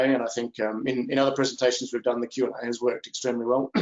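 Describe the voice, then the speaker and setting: Speaking at a very fast pace, a man has an Australian accent. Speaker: company executive. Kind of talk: investor presentation. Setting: video call webinar. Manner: hesitant, many fillers.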